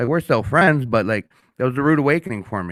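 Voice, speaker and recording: This speaker has a Minnesotan accent, an animated tone and lively intonation, talking at a very fast pace. The recording is very clean with a silent background and a dry, close sound with no echo. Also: man. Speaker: podcast host. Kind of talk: casual chat. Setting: studio.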